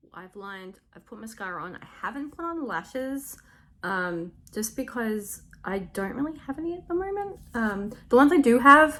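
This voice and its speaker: A woman's bright, sharp, fairly high voice with an Australian accent, very wide pitch swings, big swings in loudness and a moderate pace. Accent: Australian, noticeable to viewers. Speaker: makeup tutorial youtuber. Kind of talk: tutorial. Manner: casual, filler-heavy.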